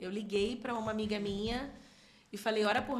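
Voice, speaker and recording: A woman with a fairly high pitch speaks at a moderate pace with fairly even intonation. Audible room echo surrounds her voice. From Rio de Janeiro state, São Gonçalo. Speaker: church minister and singer. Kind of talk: podcast interview.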